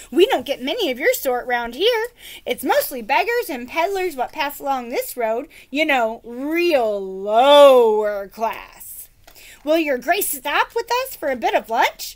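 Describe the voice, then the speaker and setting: A woman uses a put-on character voice at a high pitch. She moves at a fairly slow pace with very wide pitch swings. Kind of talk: lower-class country speech. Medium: read story. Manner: chatty, common.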